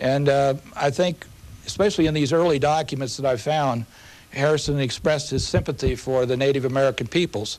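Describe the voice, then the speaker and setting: A man with a US Midwestern accent at a fairly quick pace, with fairly even intonation and very even loudness. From Indiana, Anderson. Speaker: historian and documents editor. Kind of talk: TV interview.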